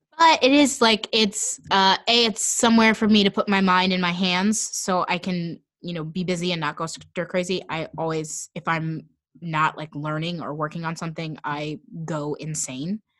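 A woman's normal speaking voice, fairly low in pitch, at a moderate pace with ordinary pitch variation. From Kansas City area, US Midwest. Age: 20s. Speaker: actor. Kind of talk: casual chat. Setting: video call from home basement.

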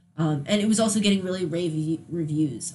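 A woman speaks fairly quickly while noticeable background noise carries on around her. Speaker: podcast host. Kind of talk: casual chat. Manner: halting, many fillers.

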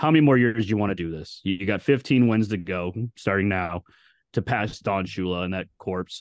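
A man with a normal speaking voice talks at a fairly quick pace and fairly low pitch, with ordinary pitch variation, in a dry, close sound with no echo and a quiet background. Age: 30s. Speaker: sports podcast co-host. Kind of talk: casual chat. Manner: profane, bantering.

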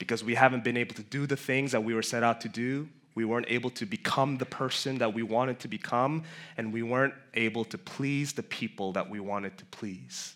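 A man with an American accent uses a normal speaking voice at a medium pitch, talking fairly quickly with fairly even intonation in a very clean recording with a silent background. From New York City (Queens, Flushing). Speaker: pastor. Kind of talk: sermon.

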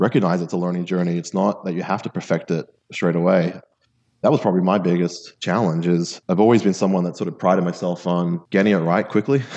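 A man with a very deep, low voice speaks very fast in an American accent. His intonation is fairly even, and the background is quiet. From Australia (Sydney), with years in London and New York. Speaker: business leader in sales and HR. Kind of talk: interview conversation.

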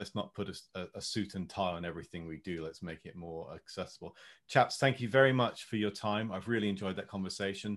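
A man at a fairly low pitch, very fast and with hardly any pauses, ordinary pitch variation and big swings in loudness. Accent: British. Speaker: podcast host. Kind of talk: casual chat. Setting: video call.

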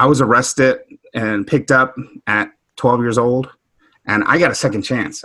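Talking at a moderate pace, a man with an American accent has a medium pitch and a bright, sharp tone. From Houston, Texas. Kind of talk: panel discussion.

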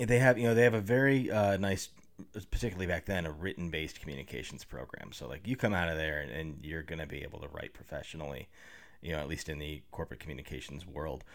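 Talking very fast, a man with a very deep, low pitch uses very wide pitch swings and vocal fry. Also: big swings in loudness. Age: 30s. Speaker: public relations professional and improv comedian. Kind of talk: casual interview chat.

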